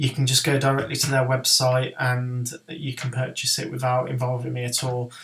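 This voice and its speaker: A man speaks with a Birmingham accent, leaving hardly any pauses. His intonation is monotone and flat. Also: medium pitch for a man, moderate pace. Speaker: horror author. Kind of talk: software tutorial. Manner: droning; hesitant, many ums.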